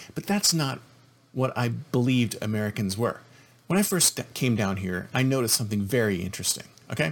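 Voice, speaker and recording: A man talks at a fairly quick pace and medium pitch. His intonation is lively. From Canada. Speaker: podcast host. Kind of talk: opinion monologue. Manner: repetitive, emphatic.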